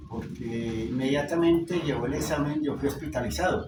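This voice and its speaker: A man talks at a moderate pace. Behind him come noticeable background noise and audible room echo. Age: 60s. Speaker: engineer and cancer patient. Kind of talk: interview testimony.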